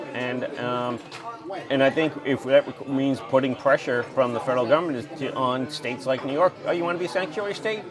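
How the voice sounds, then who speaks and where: Over noticeable background noise, a man at medium pitch speaks at a fairly quick pace with ordinary pitch variation. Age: 60s. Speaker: congressional candidate. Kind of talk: casual political interview. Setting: diner.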